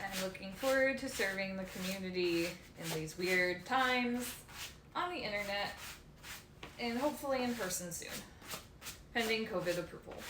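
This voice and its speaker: A woman speaks at a moderate pace and medium pitch, her pitch varying in an ordinary way, with long, frequent pauses. Audible room echo and noticeable background noise surround her. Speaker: leather care streamer. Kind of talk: casual live stream chat while working. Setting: live stream from home. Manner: soft-spoken when absorbed in work; normally loud.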